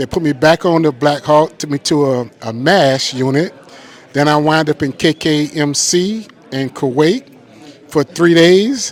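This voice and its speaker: In a normal speaking voice, a man talks at a fairly slow pace. His pitch is fairly high, with ordinary variation. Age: 60s. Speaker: war veteran. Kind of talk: testimony.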